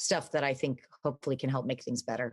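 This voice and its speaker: A woman with an American accent at a very fast pace. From Texas. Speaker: entrepreneur. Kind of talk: interview.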